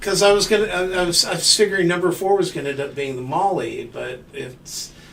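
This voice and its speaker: Noticeable background noise underlies the recording. The speaker goes at a fairly quick pace with ordinary pitch variation. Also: man, high pitch for a man. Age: 60s. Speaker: podcast host. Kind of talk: casual chat. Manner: halting.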